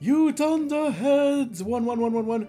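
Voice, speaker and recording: Shouting in a put-on character voice at an extremely high pitch, a man goes at a fairly slow pace over clear background noise. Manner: screaming, furious.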